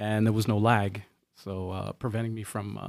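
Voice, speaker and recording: An unremarkable speaking voice at a moderate pace, in a very clean recording with a silent background. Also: man. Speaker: podcast co-host. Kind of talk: casual chat, live stream. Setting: live stream.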